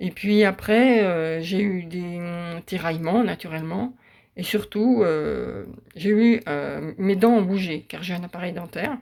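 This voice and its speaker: A woman's fairly low voice at a very slow pace, with ordinary pitch variation, in a very clean recording with a silent background. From western France. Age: 60s. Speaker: patient giving testimonial. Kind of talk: testimony. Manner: halting, many hesitations.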